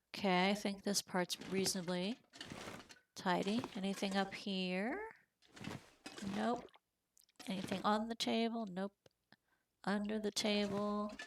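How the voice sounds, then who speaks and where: Speaking at a fairly slow pace with long, frequent pauses, a woman keeps a medium pitch and fairly even intonation. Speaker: game streamer. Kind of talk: live gameplay commentary. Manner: casual, chatty.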